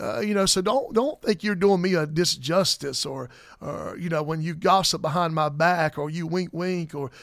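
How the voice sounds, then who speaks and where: A high-pitched man with a Southern US accent at a fairly quick pace, with ordinary pitch variation, on a very clean recording with a silent background. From South Carolina. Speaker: pastor. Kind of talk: casual chat.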